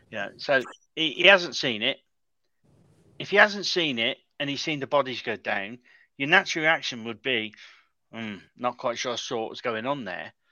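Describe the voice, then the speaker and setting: At a moderate pace, a medium-pitched man talks with lively intonation, big swings in loudness, and long, frequent pauses. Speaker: Wolves fan guest. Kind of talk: casual football chat.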